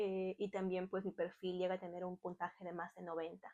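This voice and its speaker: Her tone is dark and mellow. The woman talks at a moderate pace. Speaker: online Spanish tutor and YouTuber. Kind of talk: tutorial.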